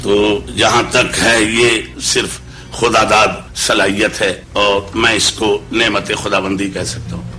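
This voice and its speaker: With music in the background, a man speaks at a fairly low pitch with fairly even intonation. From Uttar Pradesh, raised in Lahore. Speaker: qawwali singer. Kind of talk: interview answer.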